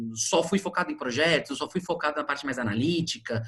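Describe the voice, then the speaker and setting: A man speaks with very wide swings in pitch. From Brazil, São Paulo. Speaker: HR recruiter. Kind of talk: online talk / workshop. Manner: fast.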